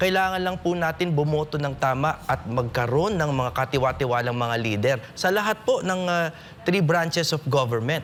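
Speaking at a moderate pace, this man has an ordinary speaking voice, fairly high in pitch and lively in intonation. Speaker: lawyer and political candidate. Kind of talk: political forum. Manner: formal.

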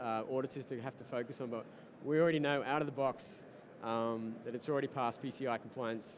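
A man with a fairly high voice and an Australian accent, very fast and fairly even in intonation, over light background noise. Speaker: startup co-founder and tech executive. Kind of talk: interview at a tech conference. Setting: live broadcast at a conference floor. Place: hall. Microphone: headset.

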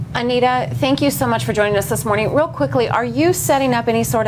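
A woman with an American accent talks at a very fast pace with very wide pitch swings, over noticeable background noise. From Los Angeles. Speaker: morning TV news host; TV show host. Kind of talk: morning show interview. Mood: earnest, concerned. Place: studio.

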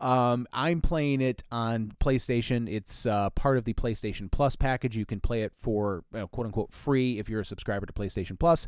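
Speaking at a moderate pace with hardly any pauses, a man uses a plain, everyday voice at medium pitch with ordinary pitch variation. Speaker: podcast co-host. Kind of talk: casual chat.

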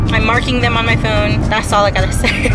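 Loud music plays in the background as a woman speaks, her voice dry with no echo. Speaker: vlogger driving. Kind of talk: casual vlog chat. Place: car.

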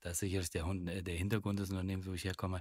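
A man speaks at a very deep, low pitch. The recording is very clean, with a silent background. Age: 50s. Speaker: burnout speaker, former insurance worker. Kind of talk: interview. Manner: hesitant, many fillers.

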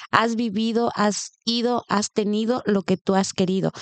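At a fairly slow pace, a woman with a Mexican accent speaks with fairly even intonation, the sound dry with no echo over a quiet background. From Mexico. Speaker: podcast co-host. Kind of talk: interview. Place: home room. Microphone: studio mic.

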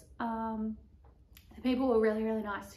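A woman speaks in an Australian accent with monotone, flat intonation. Audible room echo fills the recording. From Australia, Melbourne. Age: 20s. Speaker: vlogger and barrel racer; vlogger. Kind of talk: vlog monologue. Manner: casual, filler-heavy. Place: home room. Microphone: camera far.

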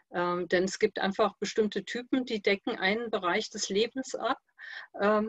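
A woman talks at a moderate pace in a fairly high pitch with ordinary pitch variation. The sound is dry with no echo, and the background is quiet. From Königstein im Taunus, Hesse; Hesse. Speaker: participant. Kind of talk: casual chat. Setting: video call. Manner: halting. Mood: calm, reflective. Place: home room. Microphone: video call.

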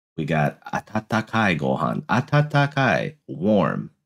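A man with an American accent talks in a fairly low voice with vocal fry. His pitch swings very widely. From United States. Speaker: YouTuber learning Japanese. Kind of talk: educational vlog, reading aloud. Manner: halting, frequent fillers.

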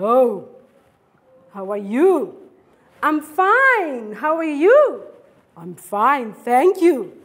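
A woman with a high pitch speaks very slowly, taking long, frequent pauses, her pitch swinging very widely and her loudness rising and falling a great deal. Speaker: teacher. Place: classroom.

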